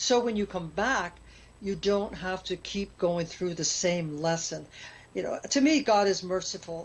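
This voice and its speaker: This woman's voice is somewhat breathy and medium in pitch. She talks at a fairly slow pace with ordinary pitch variation. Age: 70s. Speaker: near-death experience author and speaker. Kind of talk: interview conversation.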